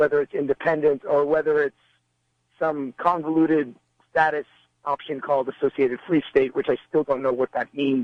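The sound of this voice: A man with a fairly high pitch talks at a moderate pace with little pitch movement, in a dry, close sound with no echo.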